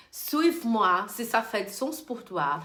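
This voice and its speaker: A woman with a Brazilian accent talks with very wide pitch swings, and audible room echo surrounds her voice. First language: Portuguese (speaking French). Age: 30s. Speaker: beauty business coach. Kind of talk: online course lesson. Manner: halting.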